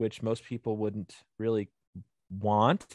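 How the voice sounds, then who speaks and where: A man with an American accent. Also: dry, close sound with no echo. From Southeast Michigan, Ohio border. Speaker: outdoors podcaster and hunter. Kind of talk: casual interview chat. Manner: rambling, energetic.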